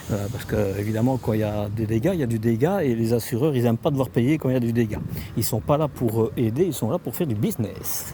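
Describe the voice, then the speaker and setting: Noticeable background noise sits behind a man speaking at a very fast pace. His medium pitch has ordinary variation. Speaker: motorhome YouTuber. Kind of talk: casual chat with staff; factory tour vlog. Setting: factory site, partly outdoors. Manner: hesitant, many fillers.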